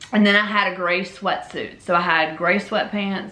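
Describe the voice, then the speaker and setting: Bright and sharp in tone, a woman speaks with a Memphis accent and an animated delivery. Audible room echo surrounds her voice. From Louisiana. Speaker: YouTuber telling personal story. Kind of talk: storytelling monologue. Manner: casual, animated.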